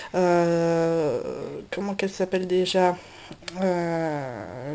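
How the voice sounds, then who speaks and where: A woman's voice at medium pitch. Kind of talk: casual talk to camera, coloring tutorial. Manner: hesitant, many filler sounds.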